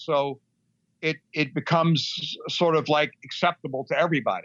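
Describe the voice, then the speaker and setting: Featuring a normal speaking voice, a man with an American accent talks in a fairly high pitch with ordinary pitch variation. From Middle East, American family. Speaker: music manager and author. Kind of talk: interview. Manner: conversational, many fillers.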